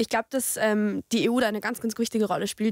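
A woman speaks in a monotone, flat way. The sound is dry with no echo, and the background is quiet. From Austria, Lower Austria (Tulln); Lower Austria. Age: 20s. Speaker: youth politician, law student; youth politician. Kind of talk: discussion. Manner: hesitant with many fillers. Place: studio. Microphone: studio mic.

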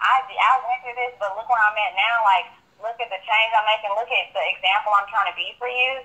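Fairly high in pitch, a woman with an unremarkable speaking voice talks at a fairly quick pace with fairly even intonation. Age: 20s. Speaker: college student. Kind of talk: casual interview.

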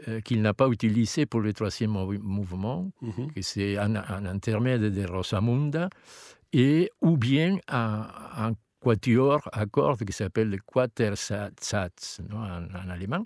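In a Spanish accent, a man with a medium-pitched voice speaks very slowly with ordinary pitch variation, recorded very cleanly, dry and close with no echo and a silent background. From Argentina. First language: Spanish (speaking French). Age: old. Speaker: opera tenor singer. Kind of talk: casual interview. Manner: halting.

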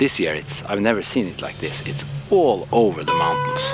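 Clear background music behind a man talking at a fairly quick pace. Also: dry sound with no echo. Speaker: fishing guide or outdoorsman. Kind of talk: casual explanation to camera. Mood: concerned, surprised. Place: forest.

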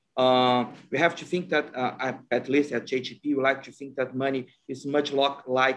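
A man talks fairly slowly with a Portuguese accent. His voice sits at a fairly high pitch. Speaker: asset manager. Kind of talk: panel discussion. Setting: video call.

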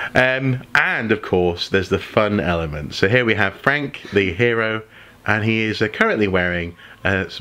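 At a moderate pace, a man talks in a fairly low voice with ordinary pitch variation. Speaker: gamer. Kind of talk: gameplay commentary. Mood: enthusiastic, nostalgic. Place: home room.

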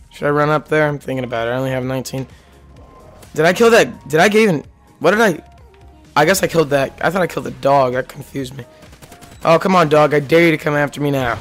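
A man's fairly high voice at a very fast pace, broken by long, frequent pauses, with music in the background. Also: ordinary pitch variation. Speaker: gaming commentator. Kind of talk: live gameplay reactions.

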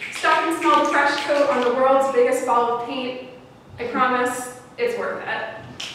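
Through noticeable background noise and strong room echo, a woman with a high voice speaks at a fairly slow pace in a monotone, flat intonation. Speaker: poet. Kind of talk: spoken-word poem performed to an audience, storytelling about a road trip. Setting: stage with audience. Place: stage. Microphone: camera far.

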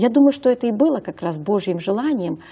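A woman with a dark, mellow, somewhat breathy tone speaks at a moderate pace with lively intonation. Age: 50s. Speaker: health consultant; talk show guest. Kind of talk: talk show interview. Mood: calm, explanatory. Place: studio. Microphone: lapel.

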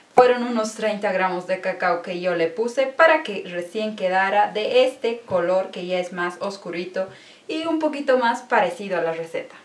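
The speech comes at a moderate pace. Audible room echo surrounds it. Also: woman. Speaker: cooking vlogger. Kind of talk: casual vlog chat.

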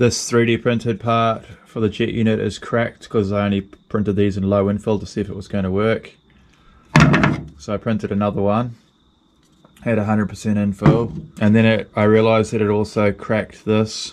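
Noticeable background noise runs throughout. The talking proceeds at a moderate pace. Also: man, fairly low pitch for a man, fairly even intonation. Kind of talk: casual workshop vlog narration. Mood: relaxed, matter-of-fact. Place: workshop. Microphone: phone near.

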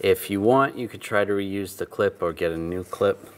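With a plain, everyday voice, a man talks at a moderate pace and fairly low pitch, his pitch varying in an ordinary way over light background noise. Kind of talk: tutorial. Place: garage.

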